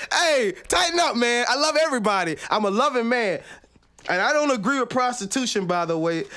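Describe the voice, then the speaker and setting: A man with an extremely high pitch, very wide pitch swings, a raised, projected voice at very even loudness, an animated tone and a fairly quick pace. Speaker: sports talk show host. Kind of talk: casual chat.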